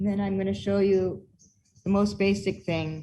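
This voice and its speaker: A woman's somewhat breathy, dark, mellow voice at medium pitch and a moderate pace. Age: 60s. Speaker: performance artist and researcher. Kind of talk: online presentation with demonstration.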